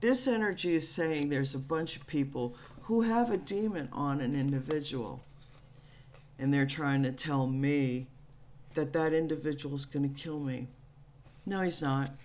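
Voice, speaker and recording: A woman's very deep, low voice with ordinary pitch variation and long, frequent pauses, in a room with audible echo. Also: moderate pace. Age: 60s. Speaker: spiritual channel host. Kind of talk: spiritual monologue. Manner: blunt, profane.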